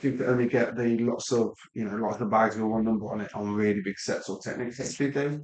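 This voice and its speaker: This man speaks in a Midlands accent at medium pitch. His intonation stays fairly even. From English Midlands. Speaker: LEGO live stream builder. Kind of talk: live stream building commentary. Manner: casual, hesitant with many ums.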